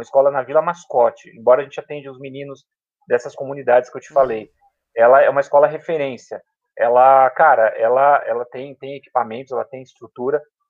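A man talks at a very fast pace with a fairly high pitch and a monotone, flat delivery. His loudness swings widely. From São Paulo, south zone periphery. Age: 40s. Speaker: public school teacher. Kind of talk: casual interview chat. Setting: at home.

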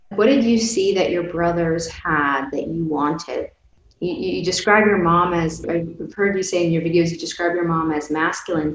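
Against noticeable background noise, a woman speaks at a moderate pace, her pitch fairly low with ordinary variation. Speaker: podcast host. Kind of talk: interview.

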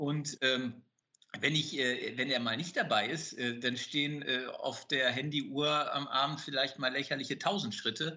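A man's fairly high pitch at a fairly slow pace with fairly even intonation. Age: 50s. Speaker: business owner. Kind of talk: interview. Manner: hesitant with many fillers.

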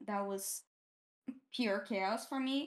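The speaker has a Portuguese accent and a fairly even intonation. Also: woman. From Brazil, Campinas area. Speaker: game art director and studio co-founder. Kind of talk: casual interview.

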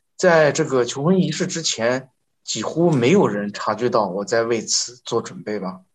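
A man talks at a moderate pace in a medium pitch, his voice making very wide pitch swings. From northern China. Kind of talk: interview testimony. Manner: halting, many filler sounds; formal.

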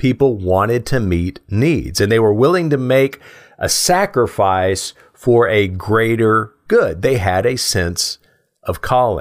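Over a silent background in a very clean recording, a man with a medium-pitched voice talks at a very slow pace, his intonation lively and his loudness very even. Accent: American. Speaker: presentation coach. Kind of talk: lecture.

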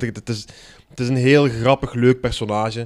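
Monotone and flat, a man speaks at a medium pitch. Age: 30s. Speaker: comedian. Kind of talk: casual chat.

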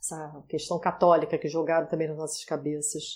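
A woman with a dark, mellow tone speaks at a moderate speed. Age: 40s. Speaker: style consultant and digital influencer. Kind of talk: casual chat.

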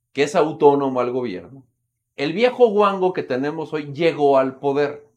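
A man with a Mexican accent speaks at a fairly slow pace, his intonation lively. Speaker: political commentator. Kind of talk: casual chat.

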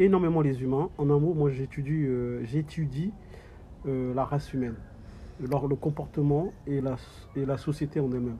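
Fairly high-pitched male speech, fairly slow, with ordinary pitch variation. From sub-Saharan Africa. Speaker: audiovisual company manager and caregiver. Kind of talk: interview. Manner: halting, many hesitations.

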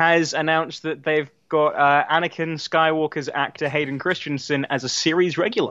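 At a moderate pace, a man with a fairly high pitch talks in an unremarkable speaking voice. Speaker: podcast co-host. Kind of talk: casual chat.

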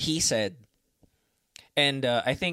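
Heard in a very clean recording with a silent background, the speaker has a Filipino accent, ordinary pitch variation and a dry, close sound with no echo. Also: man. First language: Tagalog. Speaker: podcast host. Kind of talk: solo podcast monologue. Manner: halting, many fillers.

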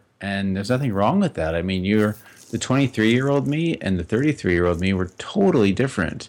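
A man talks at a fairly quick pace in a fairly low pitch, with an unremarkable speaking voice and ordinary pitch variation. The recording is very clean, with a silent background. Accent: American. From US West, Las Vegas. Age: 30s. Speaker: podcaster and advertising worker. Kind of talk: casual chat.

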